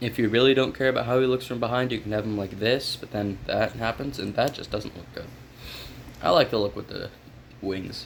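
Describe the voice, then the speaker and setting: Over noticeable background noise, a man speaks at a fairly quick pace with fairly even intonation and big swings in loudness. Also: medium pitch for a man. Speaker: toy reviewer. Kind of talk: product review. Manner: casual, conversational.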